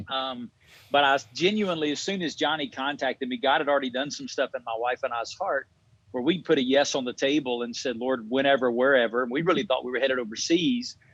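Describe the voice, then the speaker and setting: In a Southern US accent, a man talks at a very fast pace with fairly high pitch and ordinary pitch variation. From Alabama. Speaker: pastor. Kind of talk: interview.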